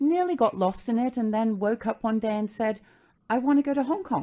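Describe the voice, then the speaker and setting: Quiet background behind a woman with a British accent, pitched fairly high, with a dark, mellow tone. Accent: British (noticeable). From London, England. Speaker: furniture company founder, former attorney. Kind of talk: radio interview.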